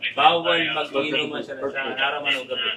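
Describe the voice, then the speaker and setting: Noticeable background noise behind the fairly high-pitched voice of a man. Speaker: police commander. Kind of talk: confrontation during police operation. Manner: loud; firm.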